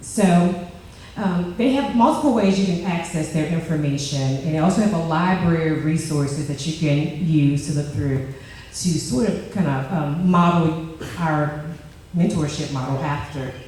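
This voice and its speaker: Noticeable noise sits behind the voice. The talking proceeds at a moderate tempo. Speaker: leadership program participant presenting. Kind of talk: group presentation. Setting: stage with microphone before audience. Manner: loud.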